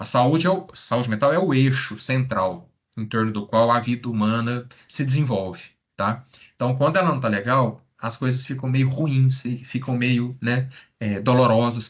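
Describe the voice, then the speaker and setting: This man speaks at a moderate pace. His pitch is medium and varies in an ordinary way. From Brazil, interior of Minas Gerais (Triângulo Mineiro). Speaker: psychologist. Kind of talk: lecture. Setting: live stream.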